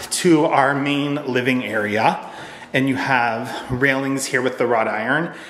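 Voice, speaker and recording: A man talks at a fairly slow pace, with audible room echo and light background noise. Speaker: homeowner vlogger. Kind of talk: casual vlog house tour. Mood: pleased, enthusiastic. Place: home room. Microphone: phone near.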